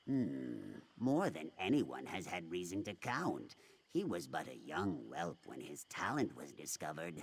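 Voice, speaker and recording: A man's put-on character voice, very deep and low, at a moderate pace. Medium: video game. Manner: grave, solemn.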